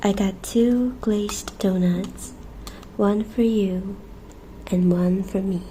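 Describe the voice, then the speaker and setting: Soft-spoken and gentle in tone, the speaker goes very slowly with long, frequent pauses over noticeable background noise. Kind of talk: casual ASMR intro talking to the listener. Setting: cozy bedtime ASMR setup with snacks. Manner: soft-spoken, gentle.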